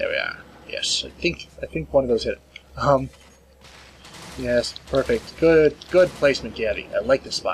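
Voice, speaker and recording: Over noticeable background noise, a man's speech is broken by long, frequent pauses. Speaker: gaming commentator. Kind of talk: gameplay commentary. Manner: fast; stumbling over words.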